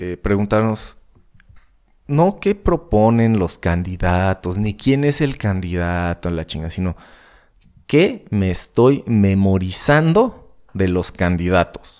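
In a Mexican accent, a man speaks very slowly at a fairly low pitch. The recording is very clean, with a silent background. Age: 30s. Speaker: podcast host and rock guitarist. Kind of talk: casual solo monologue. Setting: home studio. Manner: hesitant, many fillers.

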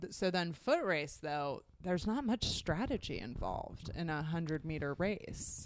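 A woman at a fairly low pitch and fairly slow pace, with lively intonation, hardly any pauses and a very clean recording with a silent background. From Portland, Oregon, US Pacific Northwest. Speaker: TV writer and performer. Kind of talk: casual chat.

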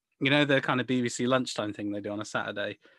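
Dry and close with no echo, a man with an English accent talks at a fairly quick pace. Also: very clean recording, silent background. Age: 20s. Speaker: football podcast co-host. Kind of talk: casual chat.

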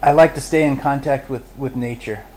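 A man talks at a fairly quick pace with an American accent. Background noise is noticeable. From Los Angeles. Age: 40s. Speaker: author in recovery, hairdresser. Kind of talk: interview storytelling. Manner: halting, many fillers.

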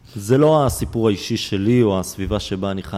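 A man's dark, mellow tone carries lively intonation at a moderate pace. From Israel. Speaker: nonprofit founder working with Haredi youth. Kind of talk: interview. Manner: halting, many repetitions and fillers.

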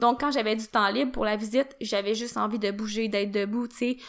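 With a Quebec accent, a woman speaks at a moderate pace, her fairly high pitch carried in fairly even intonation. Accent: Québécois French. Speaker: podcast host. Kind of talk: solo podcast monologue. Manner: casual, filler-heavy.

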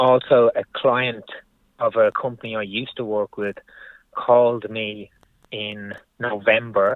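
The speaker is a man. He talks with an Irish accent. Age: 40s. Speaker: building contractor. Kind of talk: casual chat.

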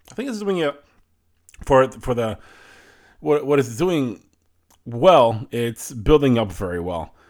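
A man speaks at a medium pitch with very wide pitch swings. He leaves long, frequent pauses. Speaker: entertainment podcast host. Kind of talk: solo commentary. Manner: casual, opinionated.

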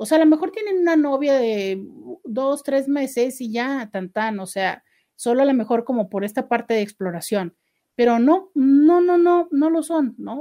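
Against a quiet background, a woman speaks in a high voice with a dark, mellow tone and very wide pitch swings. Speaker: radio host and sexologist. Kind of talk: live radio talk show. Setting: radio studio. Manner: less intense, more serious than usual.

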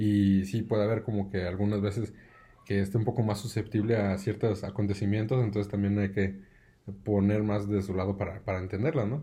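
A man with a fairly low pitch, a fairly quick pace, and monotone, flat intonation. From Mexico, Aguascalientes. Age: 30s. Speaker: engineer, new father. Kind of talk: casual chat.

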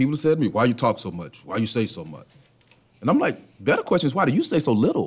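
A man's very fast speech with vocal fry, big swings in loudness and very wide pitch swings. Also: medium pitch for a man. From US South (Atlanta, Georgia). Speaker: professor. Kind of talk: casual chat. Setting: studio.

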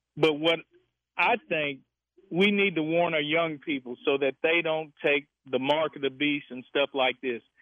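A man's unremarkable speaking voice, fairly high in pitch, with ordinary pitch variation and a fairly slow pace. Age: 60s. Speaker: caller. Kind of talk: call-in radio.

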